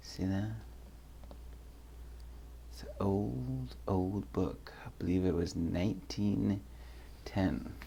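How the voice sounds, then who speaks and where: This man's very deep, low voice has a dark, mellow tone and vocal fry, moving through very wide pitch swings at a very slow pace with long, frequent pauses. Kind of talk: casual talk to camera.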